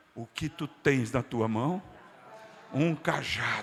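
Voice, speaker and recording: A man speaks in a raised, projected voice. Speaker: pastor. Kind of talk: sermon. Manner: fervent, with bursts of speaking in tongues.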